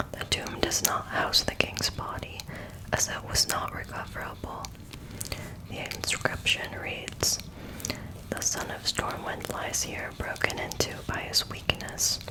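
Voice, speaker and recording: Whispering at a fairly slow pace, the speaker is heard over noticeable background noise. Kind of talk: book reading, lore narration. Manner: whispered, soft.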